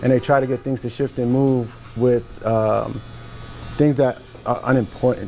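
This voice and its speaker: Over noticeable background noise, a man with a medium pitch speaks in a monotone, flat way at a moderate pace, with long, frequent pauses. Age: 40s. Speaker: military veteran and business owner. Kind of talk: casual panel discussion.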